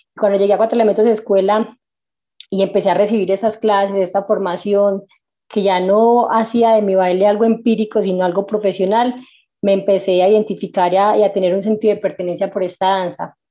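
Against a quiet background, a woman talks at a fairly quick pace in a medium pitch. Her tone is dark and mellow, her intonation monotone and flat. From Colombia, Medellín. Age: 20s. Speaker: breaking dancer. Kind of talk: interview.

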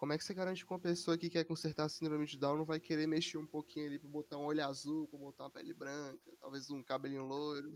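A man's very fast, monotone delivery at a fairly high pitch, with flat intonation and hardly any pauses. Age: 19. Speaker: university student. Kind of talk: casual chat.

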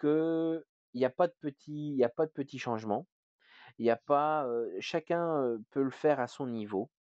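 A man's very slow delivery with long, frequent pauses and ordinary pitch variation, the sound dry and close with no echo against a quiet background. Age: 30s. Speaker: hospital care assistant and paternity leave campaigner. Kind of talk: interview. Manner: halting.

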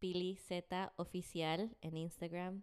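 A woman's medium-pitched voice with a slight Bogotá accent and fairly even intonation. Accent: slight Bogotá (rolo). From Colombia, Bogotá. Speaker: podcast guest, singer. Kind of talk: casual chat. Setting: studio.

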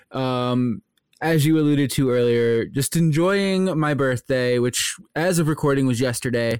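With an American accent, a man speaks in a plain, everyday voice. His pitch is fairly high, with ordinary variation, and his pace is moderate. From US Midwest. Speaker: podcast co-host. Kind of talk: casual chat.

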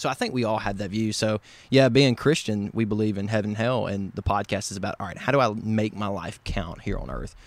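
This man has a fairly low pitch and a Southern US accent. His intonation stays fairly even, with hardly any pauses. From West Tennessee. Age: 20s. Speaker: podcast host guest. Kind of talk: casual conversation. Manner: talkative.

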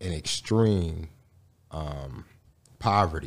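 The man has a very deep, low pitch. The recording is very clean, with a silent background. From Gary, Indiana. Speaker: community organizer and activist. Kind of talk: podcast interview.

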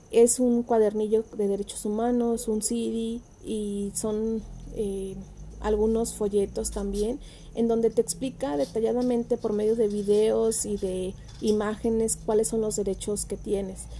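Woman with a Mexican accent, fairly high pitch, monotone, flat intonation and a fairly slow pace. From Mexico, Michoacán (Ciudad Hidalgo). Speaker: human rights activist. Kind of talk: presentation. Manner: hesitant, many fillers.

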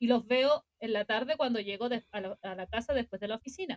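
This is a woman with a Chilean accent. She speaks at a moderate pace. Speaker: podcast co-host. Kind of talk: casual chat. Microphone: recorded quieter than co-host.

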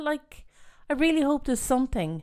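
In a very clean recording with a silent background, a woman speaks with an Irish accent. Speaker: podcast host. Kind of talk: casual chat.

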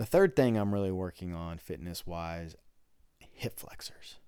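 A man with a very deep, low pitch and lively intonation at a moderate pace, on a very clean recording with a silent background. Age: 30s. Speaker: jiu-jitsu podcast host. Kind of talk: solo podcast monologue. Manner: casual, conversational.

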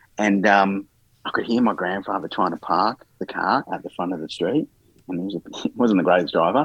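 With an Australian accent, a man talks at a moderate pace and fairly low pitch, with ordinary pitch variation. The sound is dry and close with no echo. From Australia, Melbourne eastern suburbs. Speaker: garden consultant and author. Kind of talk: interview. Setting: podcast recording.

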